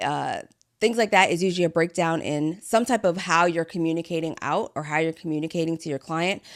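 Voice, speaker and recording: A woman talks at a fairly quick pace in a fairly low pitch on a very clean recording with a silent background. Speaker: business podcast host. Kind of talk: solo podcast talk. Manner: fast.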